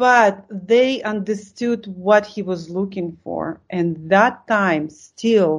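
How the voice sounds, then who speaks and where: A woman with a Russian accent and a medium pitch, very slow in pace, hardly any pauses, ordinary pitch variation. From Lithuania. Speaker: art supplies company co-founder. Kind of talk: interview. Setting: video call.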